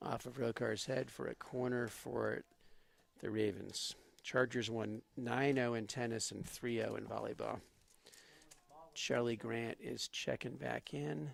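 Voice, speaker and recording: A man's fairly slow speech with a slight Boston accent. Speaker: student sports commentator. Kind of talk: live commentary.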